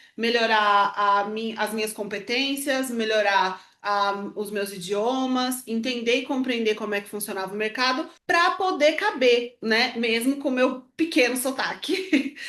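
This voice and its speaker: A woman with a fairly high pitch and ordinary pitch variation speaks in a bright, sharp tone, with hardly any pauses. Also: fairly slow pace. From Brazil. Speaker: podcast co-host, former fashion professional. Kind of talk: casual conversation.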